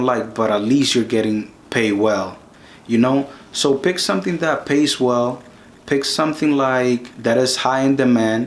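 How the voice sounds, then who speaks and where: A man with a Spanish accent speaks at a medium pitch and a moderate pace. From Dominican Republic. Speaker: YouTube career advice creator. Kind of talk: tutorial. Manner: casual, with frequent self-repetitions.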